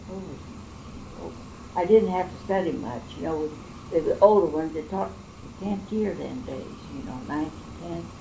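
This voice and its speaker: Midwestern US accent with very wide pitch swings, amid audible room echo and noticeable background noise. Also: woman. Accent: rural Midwestern American. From central Illinois. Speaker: oral history interviewee. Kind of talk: oral history interview. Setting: at home.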